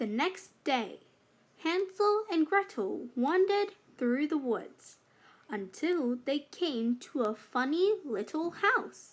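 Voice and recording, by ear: A woman at a high pitch with big pitch swings and a slow pace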